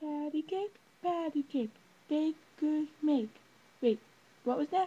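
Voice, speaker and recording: Someone uses a high-pitched, put-on character voice at a fairly slow pace. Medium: solo performance. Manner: silly, overacted.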